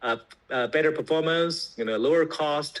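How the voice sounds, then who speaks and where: A man with a Chinese accent speaks fairly quickly in a fairly high voice. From China. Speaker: tech company founder. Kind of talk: interview explanation. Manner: hesitant, many fillers.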